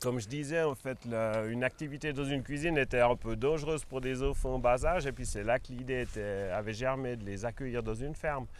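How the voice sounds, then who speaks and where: A man at a medium pitch is heard with music in the background. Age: 60s. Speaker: organic farmer. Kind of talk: interview. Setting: on his farm.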